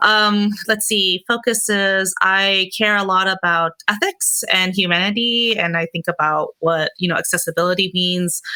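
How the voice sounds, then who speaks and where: A woman with an American accent speaks at a medium pitch and a fairly slow pace with hardly any pauses, fairly even intonation and a bright, sharp tone, in a dry, close sound with no echo. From US West Coast, Oakland, California. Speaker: XR creative director. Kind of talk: panel discussion. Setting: online conference.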